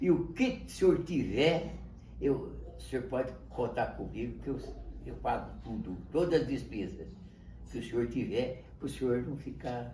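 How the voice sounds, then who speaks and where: Speaking at a fairly slow pace, a man's loudness swings widely, with audible room echo in the recording. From Brazil, São Paulo state interior. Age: 80s+. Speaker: grandfather telling his life story. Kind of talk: interview, personal life story. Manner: halting, repetitive.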